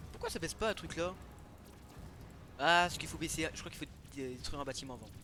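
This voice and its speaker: Fairly quick pace, big swings in loudness and ordinary pitch variation. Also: man, fairly high pitch for a man. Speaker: gaming YouTuber. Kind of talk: let's play commentary. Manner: fast; animated.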